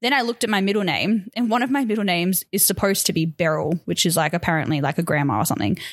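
In a very fast, dry, close delivery with no echo, a woman with an Australian accent uses lively intonation at a medium pitch and very even loudness on a very clean recording with a silent background. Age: 30s. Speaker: podcast co-host. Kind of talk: casual chat.

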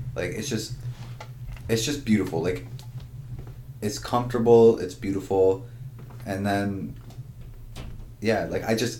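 The speaker has a Canadian accent and a somewhat breathy voice with ordinary pitch variation. The pace is fairly slow, with audible room echo. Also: man. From Ontario, Canada. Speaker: podcast co-host. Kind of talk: casual chat.

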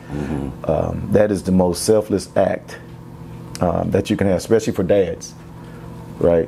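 In an American accent, the speaker goes at a moderate pace with long, frequent pauses over noticeable background noise. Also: man, very deep, low pitch for a man, ordinary pitch variation. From Houston, Texas. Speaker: athletic director and former NFL player. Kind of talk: interview conversation.

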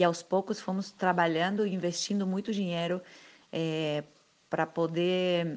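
A woman speaks in a Spanish accent at a fairly low pitch. Her pace is fairly slow and her intonation fairly even. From Argentina, Buenos Aires. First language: Spanish (speaking Portuguese). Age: 50s. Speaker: circus artist. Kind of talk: interview.

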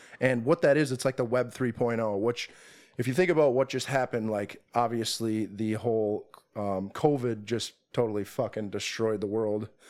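Using a plain, everyday voice with an American accent, a man speaks at medium pitch and a moderate pace with ordinary pitch variation. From Minnesota, Twin Cities suburbs. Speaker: day trader. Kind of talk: casual chat. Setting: in person.

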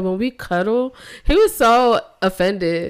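A woman talks in an animated tone on a very clean recording with a silent background. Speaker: podcast co-host. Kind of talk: casual chat. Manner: animated, casual.

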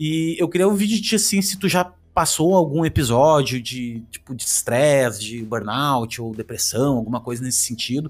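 In a very clean recording with a silent background, a man with a normal speaking voice and a fairly high pitch talks at a moderate pace with lively intonation and hardly any pauses. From Rio Grande do Sul, Brazil. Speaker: podcast host. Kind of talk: casual interview chat.

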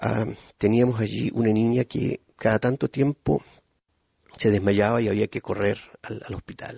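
A man's fairly low voice at a fairly slow pace, with fairly even intonation and long, frequent pauses. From Chile (Puerto Montt). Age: 50s. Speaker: pastor. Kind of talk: testimony.

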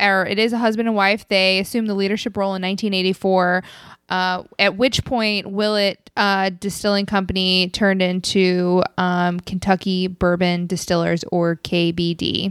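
With a plain, everyday voice, a woman speaks at a medium pitch and moderate pace with fairly even intonation and hardly any pauses, on a very clean recording with a silent background. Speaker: podcast host. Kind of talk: casual chat.

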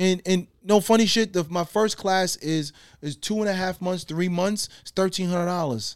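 With an American accent, a man speaks at a moderate pace in a high pitch with ordinary pitch variation, captured in a very clean recording with a silent background. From Guyana. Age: 40s. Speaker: artist and furniture maker. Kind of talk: casual podcast interview. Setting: studio in his apartment.

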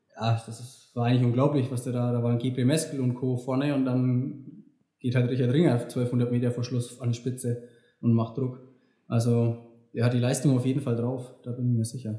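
The voice has a dark, mellow tone, somewhat breathy, delivered at a moderate pace with monotone, flat intonation. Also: man, medium pitch for a man. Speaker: elite marathon runner. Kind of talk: casual chat. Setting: recorded after a run. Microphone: poor sound quality.

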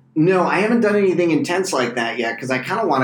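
Over noticeable background noise, a man with an American accent talks at a very fast pace with lively intonation. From US East Coast. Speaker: comedian. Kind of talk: casual chat.

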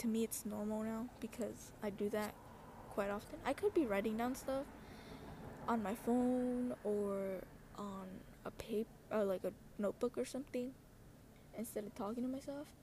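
A soft-spoken woman talks at a moderate pace with fairly even intonation and long, frequent pauses. Noticeable background noise sits behind her. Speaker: solo podcaster. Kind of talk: casual personal monologue. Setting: bedroom with open window, street noise. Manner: rambling, filler-heavy.

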